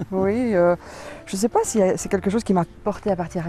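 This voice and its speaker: Music plays in the background as a woman talks with ordinary pitch variation. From Belgium. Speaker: author. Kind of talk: interview. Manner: hesitant, many fillers.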